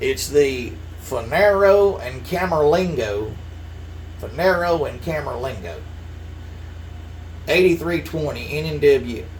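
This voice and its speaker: In a Southern US accent, a man speaks with audible room echo around him. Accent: southern drawl. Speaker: model railroad hobbyist YouTuber. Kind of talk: casual chat to camera. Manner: casual, filler-heavy.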